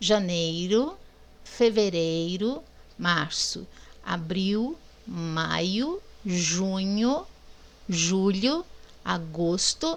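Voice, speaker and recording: This woman speaks with a Minas Gerais accent at a medium pitch. Her intonation is lively. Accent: Mineiro Brazilian Portuguese, O sounds like U. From Minas Gerais, Brazil. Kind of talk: teacher explaining to a class.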